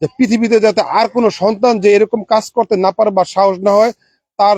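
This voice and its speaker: Dry and close with no echo, a man with a high pitch talks in fairly even intonation. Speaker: local villager. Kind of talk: interview statement. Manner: halting, many fillers.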